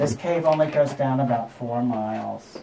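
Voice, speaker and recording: The speech moves at a fairly slow pace. Light background noise can be heard. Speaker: cave tour guide. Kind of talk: guided tour talk. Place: tunnel cave. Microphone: camera far.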